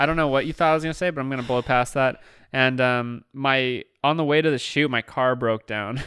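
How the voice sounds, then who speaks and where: The tone is bright and sharp, at a fairly quick pace. The recording is very clean, with a silent background. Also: man, medium pitch for a man. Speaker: podcast co-host. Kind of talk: casual comedic chat. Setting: studio, live streamed. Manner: loud; animated, does character voices.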